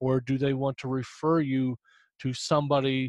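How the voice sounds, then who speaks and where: A man with a Midwestern US accent and a medium-pitched voice, in a dry, close recording with no echo. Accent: US Midwest. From Indiana. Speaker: humor columnist and author. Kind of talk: casual interview.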